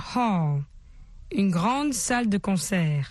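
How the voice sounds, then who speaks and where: A woman's somewhat breathy voice at a fairly slow pace, with very wide pitch swings, over a quiet background. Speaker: radio English teacher. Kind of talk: language lesson. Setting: radio studio. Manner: formal.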